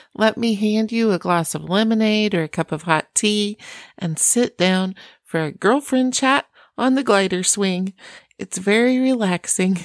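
A woman speaks at a fairly slow pace with a Midwestern American accent. The recording is very clean and dry, close-sounding with no echo and a silent background. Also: medium pitch for a woman, ordinary pitch variation. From US Midwest, Iowa. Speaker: parenting podcast host. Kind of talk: casual encouraging monologue.

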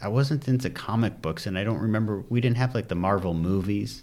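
A man with an American accent speaks at a fairly quick pace in a fairly low pitch, with ordinary pitch variation and an unremarkable speaking voice. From US Midwest, Detroit suburbs, Michigan. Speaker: commercial real estate broker. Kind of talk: interview. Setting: studio.

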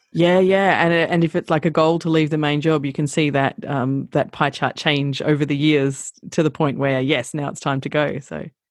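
A woman with an Australian accent talks in a very deep, low voice with fairly even intonation. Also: moderate pace. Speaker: travel blogger and social media consultant. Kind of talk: interview conversation. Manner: hesitant, many fillers.

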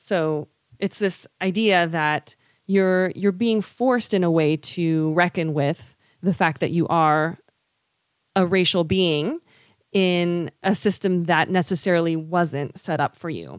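A woman with an American accent talks at a very slow pace and fairly low pitch, her intonation fairly even, in a very clean recording with a silent background. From US West Coast, San Francisco Bay Area. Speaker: public education worker. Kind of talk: explanatory discussion.

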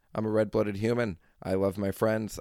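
Recorded very cleanly with a silent background, a man speaks at a fairly low pitch in an ordinary speaking voice. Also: dry, close sound with no echo. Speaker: podcast host. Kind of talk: angry political rant. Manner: exasperated, heated, ranting; rambling, with sighs and filler words.

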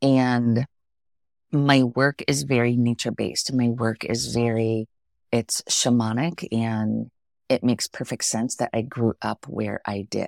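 With an American accent, a woman speaks at a fairly slow pace in a very deep, low pitch with ordinary pitch variation and a dry, close sound with no echo. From US, Pennsylvania (small village). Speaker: spiritual intuitive reader and author. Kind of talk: podcast interview. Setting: studio.

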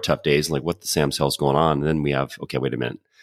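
A man talks at a very fast pace with vocal fry, on a very clean recording with a silent background. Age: 40s. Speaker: podcast host. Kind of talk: casual interview chat.

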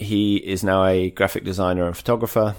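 A man with a southern English accent speaks at a fairly quick pace in a very deep, low pitch. The recording is very clean, with a silent background. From Kent, southeast England. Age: 40s. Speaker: author and sports brand marketer. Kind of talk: casual interview chat.

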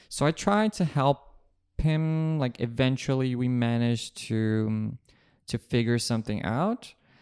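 Recorded very cleanly against a silent background with dry, close sound and no echo, a man with a Portuguese accent talks at a medium pitch and fairly slow pace, his intonation lively. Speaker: journalist. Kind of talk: casual chat.

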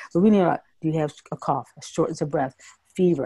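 The woman's intonation is fairly even. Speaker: emergency physician and health coach. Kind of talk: informative medical explanation.

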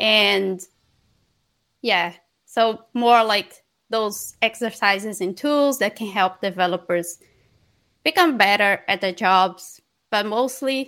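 Speaking at a very slow pace with long, frequent pauses, a woman with a Portuguese accent uses a medium pitch, ordinary pitch variation and a bright, sharp tone. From northeast Brazil (Maranhão). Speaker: software developer, company co-founder. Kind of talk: interview.

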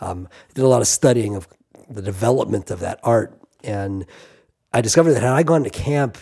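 An American accent in a dark, mellow tone at a fairly quick pace. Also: man. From US Midwest, Kansas City. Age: 50s. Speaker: rabbi and songwriter. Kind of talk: casual interview chat.

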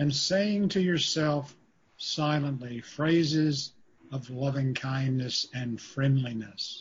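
A fairly high-pitched man with a soothing, gentle, somewhat breathy tone, ordinary pitch variation and a very slow pace. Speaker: meditation teacher and university faculty. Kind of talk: guided meditation with slow spoken cues. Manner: slow, soothing, repetitive phrasing; gentle, calm pacing with pauses.

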